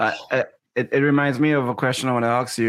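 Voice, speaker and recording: A man in a monotone, flat intonation. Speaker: swim coach and co-host. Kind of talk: casual chat.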